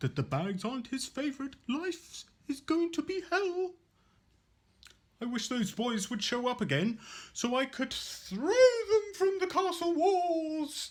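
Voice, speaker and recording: The speaker uses a put-on character voice and moves at a fairly slow pace. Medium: stage play. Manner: wry, put-upon.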